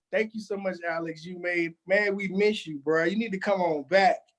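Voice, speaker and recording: Loud and fairly slow, a man speaks at a high pitch with lively intonation. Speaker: podcast co-host. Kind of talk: casual chat. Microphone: audio distorts from screaming.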